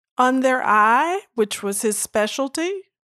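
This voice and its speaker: A woman with an American accent speaks with lively intonation in a dry, close sound with no echo, on a very clean recording with a silent background. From St. Louis, Missouri, US. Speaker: retired systems analyst and board member. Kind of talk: interview.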